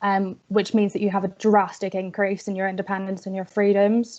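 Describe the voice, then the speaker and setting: A woman speaks with a Northern Irish accent at medium pitch. Her intonation is monotone and flat. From Northern Ireland. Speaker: student activist. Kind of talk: webinar presentation.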